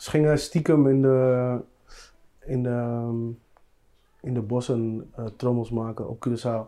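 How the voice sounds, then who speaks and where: Speaking very slowly with long, frequent pauses, a man uses a medium pitch, a dark, mellow tone and fairly even intonation. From Netherlands. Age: 30s. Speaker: musician. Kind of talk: casual chat.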